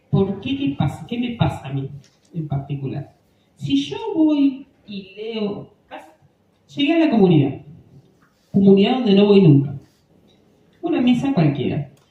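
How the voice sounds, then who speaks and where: A fairly slow delivery with long, frequent pauses. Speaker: parish lay instructor for readers. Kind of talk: workshop talk. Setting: parish hall with microphone.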